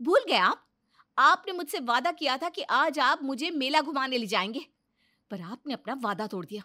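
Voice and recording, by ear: Using a cartoonish character voice, a woman speaks at a high pitch and a moderate pace with a bright, sharp tone and lively intonation.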